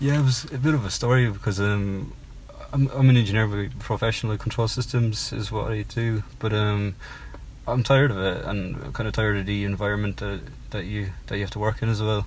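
At a fairly quick pace, a man with a Cork accent speaks at a fairly low pitch with ordinary pitch variation. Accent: Irish (Cork). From Ireland (Cork). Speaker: singer-songwriter. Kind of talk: interview. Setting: in a parked car. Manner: hesitant, many fillers.

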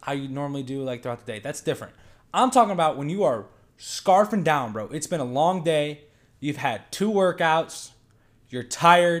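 A man's normal speaking voice, fairly high in pitch, with lively intonation at a moderate pace, on a very clean recording with a silent background. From Michigan. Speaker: college wrestler. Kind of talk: casual chat.

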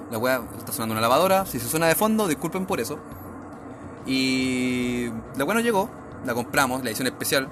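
A man's medium-pitched voice with lively intonation, a fairly quick pace, long, frequent pauses and noticeable background noise. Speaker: podcast host. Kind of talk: casual chat. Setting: at home.

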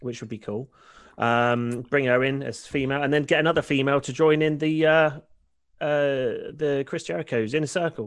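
In a quiet background, a man with an unremarkable speaking voice talks at a moderate pace with fairly even intonation. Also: fairly high pitch for a man. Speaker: wrestling podcast co-host. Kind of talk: casual banter, wrestling discussion.

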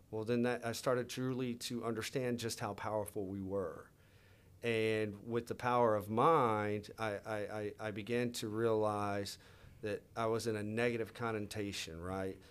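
Here a man talks with an American accent. His medium pitch stays in a monotone, flat intonation. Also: moderate pace. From US South, Louisiana. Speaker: leadership coach and entrepreneur. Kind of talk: casual interview conversation. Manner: halting with many fillers.

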